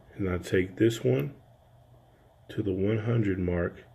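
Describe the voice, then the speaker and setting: A soft-spoken, somewhat breathy man with very deep, low pitch and fairly even intonation. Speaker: audio engineer. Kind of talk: tutorial. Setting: home studio.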